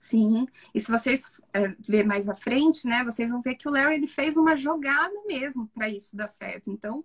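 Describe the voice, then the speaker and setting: High-pitched and lively in intonation, a woman speaks. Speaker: psychologist. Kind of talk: live stream film analysis. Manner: fast.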